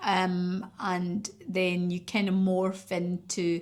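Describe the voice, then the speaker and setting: A woman speaks at a medium pitch with a Scottish accent. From Scotland. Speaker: stand-up comedian. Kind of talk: interview answer.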